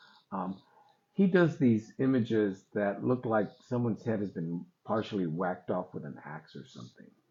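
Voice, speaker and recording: The man has a plain, everyday voice with a fairly low pitch. His intonation is lively. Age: 60s. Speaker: artist and photographer. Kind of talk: interview.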